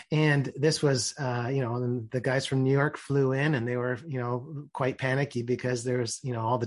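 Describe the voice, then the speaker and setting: A man with a Canadian accent, monotone, flat intonation and a fairly quick pace, over noticeable background noise. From Ontario, Canada. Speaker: business executive and author. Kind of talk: interview. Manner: halting, frequent repetitions and fillers.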